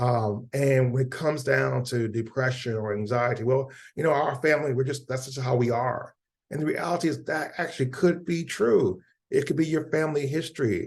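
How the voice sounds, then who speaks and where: Somewhat breathy, a man talks at a moderate pace with a medium pitch and ordinary pitch variation. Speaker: mental health educator leading a webinar. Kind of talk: webinar presentation. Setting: video call webinar. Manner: animated.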